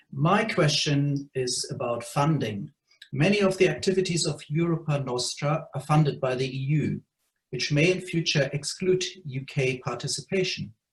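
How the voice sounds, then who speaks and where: A man with a German accent speaks at a moderate pace in a fairly high, somewhat breathy voice. His pitch varies in an ordinary way. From Germany. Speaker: heritage trust director. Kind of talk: question at online meeting.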